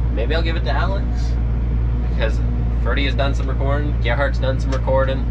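Loud noise fills the background as a man talks rather quickly. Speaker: farm worker vlogger. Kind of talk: casual vlog chat. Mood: relaxed, laughing. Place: farm machine. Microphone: phone near.

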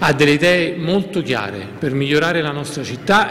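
A man talks at a moderate pace, his pitch varying in an ordinary way, with light background noise present. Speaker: newly elected city councillor. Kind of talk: campaign interview. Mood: pleased, confident.

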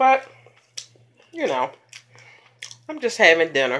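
At a moderate pace, a woman speaks with very wide pitch swings. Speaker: mukbang vlogger. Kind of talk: casual vlog chat. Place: home room. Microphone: phone near.

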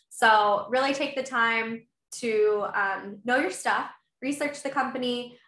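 Over a quiet background with audible room echo, a woman speaks at a fairly slow pace in a fairly high, bright, sharp voice with fairly even intonation. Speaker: sales manager, former college cheerleader; sales manager. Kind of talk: panel discussion on video call. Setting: video call. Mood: friendly, encouraging. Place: home room. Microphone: video call.

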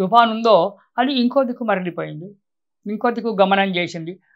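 The speech shows ordinary pitch variation. The background is quiet. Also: man. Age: 70s. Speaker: astrologer; guest. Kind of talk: religious talk. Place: studio. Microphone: lapel.

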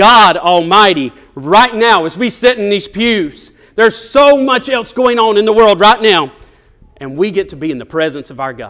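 Over a quiet background, a man with a Southern US accent speaks in a high pitch with a bright, sharp tone, very wide pitch swings and big swings in loudness. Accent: Southern US twang. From US South. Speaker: preacher. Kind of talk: sermon. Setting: church. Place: church.

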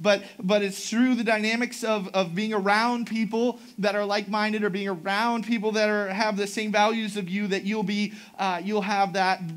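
A man talks at a high pitch and a moderate pace, with monotone, flat intonation. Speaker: pastor. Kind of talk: sermon. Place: church.

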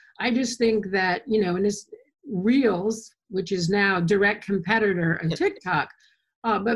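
Somewhat breathy female voice. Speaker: artist. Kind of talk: casual interview. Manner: rambling, enthusiastic.

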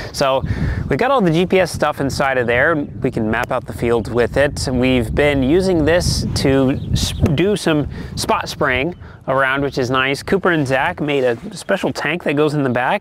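Against noticeable background noise, a man with a fairly high pitch talks at a fairly slow pace with very even loudness. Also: ordinary pitch variation. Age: 20s. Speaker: farmer and YouTuber. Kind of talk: vlog narration.

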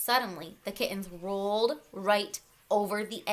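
The text is read aloud plainly, and the intonation stays fairly level.

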